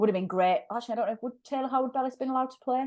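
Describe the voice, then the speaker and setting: Lively intonation marks this woman's speech. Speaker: football podcast host. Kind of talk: casual football chat. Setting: studio. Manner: fast.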